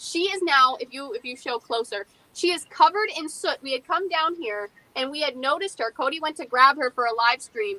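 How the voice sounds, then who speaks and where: Over noticeable background noise, a woman speaks with a raised, projected voice at a high pitch and a fairly quick pace. Her intonation is lively, and the sound is dry and close with no echo. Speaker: paranormal investigator and museum curator. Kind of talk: interview. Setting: live stream. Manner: fast.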